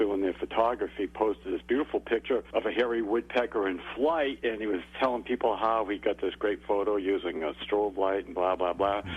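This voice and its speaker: A man with a Massachusetts accent talks at a fairly quick pace with hardly any pauses. His pitch is fairly low, with ordinary variation. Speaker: bird expert. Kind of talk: radio interview.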